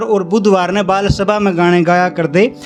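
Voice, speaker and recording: There is music in the background as a man speaks. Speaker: poet. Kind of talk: poetry reading at an open mic event.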